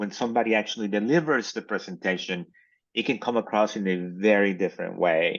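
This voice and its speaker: A man speaks very fast with a Mexican accent, his pitch fairly low. The background is quiet. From Mexico. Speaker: communications professor. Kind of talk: interview. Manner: halting, many fillers.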